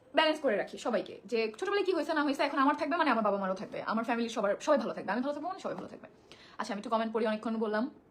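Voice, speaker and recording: A woman speaks at a high pitch with very wide pitch swings. Noticeable background noise sits behind her. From Bangladesh, Barguna. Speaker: social media personality. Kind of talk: personal testimony to viewers.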